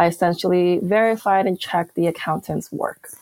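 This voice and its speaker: An ordinary speaking voice with ordinary pitch variation moves at a fairly quick pace in a dry, close sound with no echo. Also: woman. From Peru, then Canada from age nine. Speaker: online business manager, digital nomad. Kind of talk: interview.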